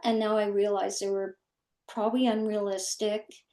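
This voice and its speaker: At a fairly slow pace, a normal speaking voice with a Canadian accent comes through over a quiet background. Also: woman. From Ontario, Canada. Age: 60s. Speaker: former mental health professional and life coach. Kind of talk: casual conversation.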